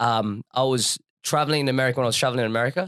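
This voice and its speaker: A man's bright, sharp voice with an Australian accent, fairly quick in pace and ordinary in pitch variation, in a dry, close sound with no echo. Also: very clean recording, silent background. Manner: casual, conversational, frequent fillers.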